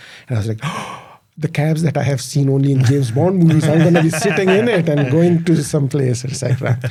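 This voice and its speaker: A man talks at a very fast pace, his pitch fairly high. Pitch variation is ordinary, with noticeable background noise behind him. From Pakistan. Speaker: tech company founder. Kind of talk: podcast interview. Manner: hesitant, many fillers.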